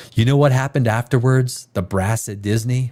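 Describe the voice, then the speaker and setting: A man speaks in an ordinary speaking voice at a medium pitch. His pace is fairly quick, with ordinary pitch variation. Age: 50s. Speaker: live stream host reviewing movie trailers. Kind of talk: casual live reaction chat.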